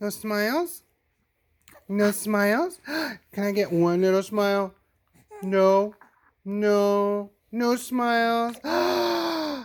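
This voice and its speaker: A soft-spoken man with a gentle tone and a high pitch. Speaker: father. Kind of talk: soothing talk to a baby. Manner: gentle, soft-spoken.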